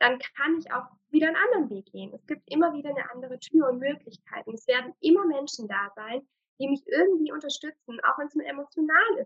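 At a moderate pace, a woman speaks in a high-pitched voice with ordinary pitch variation. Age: 30s. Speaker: shamanic healer. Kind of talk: interview.

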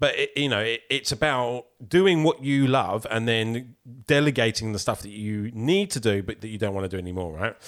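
A man with a normal speaking voice at medium pitch talks at a moderate pace with hardly any pauses and lively intonation, in a very clean recording with a silent background. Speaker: podcast host. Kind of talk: casual interview. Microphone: professional microphone.

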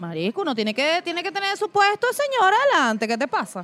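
Noticeable noise fills the background. A woman's voice moves through very wide pitch swings. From Venezuela, Mérida. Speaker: podcast co-host and producer. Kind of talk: casual chat. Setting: food park.

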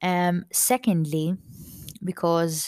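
Dry and close with no echo, a woman's fairly low voice with a Maltese accent comes through a very clean recording with a silent background. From Malta. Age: 20s. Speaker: podcast host and thrifting content creator. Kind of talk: casual chat, solo podcast monologue. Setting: home recording, holding a mug of tea. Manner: friendly, chatty, warm.

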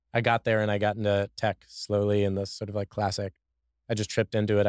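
In an American accent, a man speaks at a very fast pace and a fairly low pitch. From Washington DC. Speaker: software engineer. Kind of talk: casual interview conversation. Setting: studio. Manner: halting, many repeated words.

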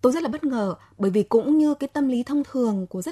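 Speaking at a fairly quick pace, a woman has a dark, mellow tone and lively intonation, recorded with a dry, close sound and no echo. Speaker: journalist and writer. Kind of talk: radio talk show discussion.

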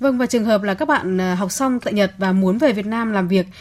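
Somewhat breathy, a woman of medium pitch speaks at a fairly quick pace with ordinary pitch variation. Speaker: radio host. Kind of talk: radio interview.

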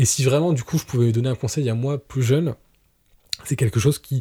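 A man talks at a fairly quick pace in a dark, mellow tone that is somewhat breathy, with ordinary pitch variation. The recording is very clean and the background silent. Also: dry, close sound with no echo. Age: 30s. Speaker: professional photographer. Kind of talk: podcast interview. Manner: hesitant, many fillers.

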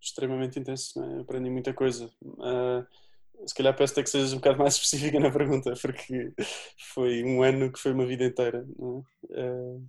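A man talks fairly quickly in a medium-pitched, monotone voice with flat intonation, his loudness swinging a lot. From Portugal, Azambuja (Lisbon area). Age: 20s. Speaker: humanitarian volunteer and activist, doctoral student. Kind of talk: interview. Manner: halting, many repeated words and fillers.

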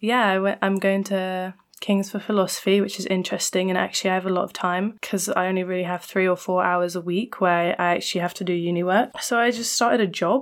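A woman with an ordinary speaking voice and medium pitch talks at a fairly quick pace with fairly even intonation and hardly any pauses. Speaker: university student and podcaster. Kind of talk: casual chat.

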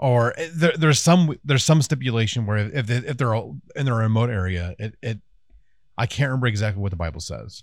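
On a very clean recording with a silent background, a man at a medium pitch speaks very fast with lively intonation. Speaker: podcast co-host. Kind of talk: casual chat podcast. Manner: fast talker.

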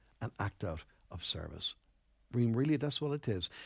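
At a moderate pace, a man swings very widely in pitch on a very clean recording with a silent background and a dry, close sound with no echo. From Ireland, Enniscorthy, County Wexford. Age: 60s. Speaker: pastor. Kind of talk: sermon.

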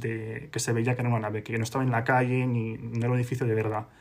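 A man speaks in a somewhat breathy voice. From Spain, Madrid. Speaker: podcast co-host. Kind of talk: casual chat.

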